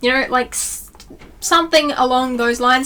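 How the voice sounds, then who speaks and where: In an Australian accent, a woman with a high pitch and a bright, sharp tone speaks with fairly even intonation. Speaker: YouTuber. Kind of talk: casual vlog tutorial. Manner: fast.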